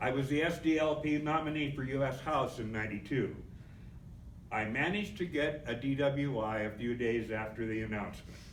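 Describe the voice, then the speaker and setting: Audible room echo surrounds a man speaking at a medium pitch and fairly quick pace with ordinary pitch variation. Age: 70s. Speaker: political activist. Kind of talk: convention speech.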